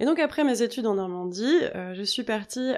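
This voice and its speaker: Speaking at a fairly slow pace with lively intonation, a woman is captured on a very clean recording with a silent background. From Normandy, France. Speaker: yoga teacher and podcast host. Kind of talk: solo podcast monologue. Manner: casual with frequent hesitations.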